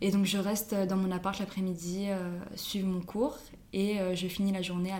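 A woman at medium pitch and moderate pace, flat and monotone, with audible room echo and noticeable background noise. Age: 20s. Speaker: student teacher. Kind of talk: casual interview.

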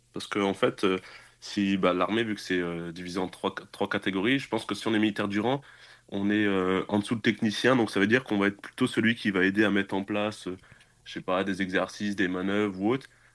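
A man with a fairly low pitch talks at a fairly quick pace. His intonation is monotone and flat, broken by long, frequent pauses. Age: 20s. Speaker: military cybersecurity specialist. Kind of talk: casual interview. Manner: casual, filler-heavy.

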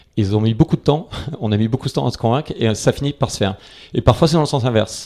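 A man at medium pitch with a dark, mellow tone and ordinary pitch variation. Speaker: venture capital investor. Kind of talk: interview. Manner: hesitant, many fillers and repetitions.

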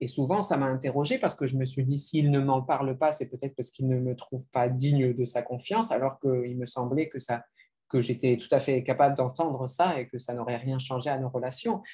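Somewhat breathy, a man speaks in a medium pitch with fairly even intonation. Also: fairly quick pace. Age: 30s. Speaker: novelist. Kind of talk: literary interview.

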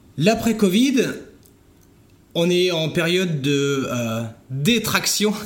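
Over noticeable background noise and audible room echo, a man speaks at a very slow pace with long, frequent pauses. His high pitch swings very widely. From France, Vendée coast. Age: 40s. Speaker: entrepreneur. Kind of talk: interview. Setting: at the guest's home. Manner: halting, many fillers.

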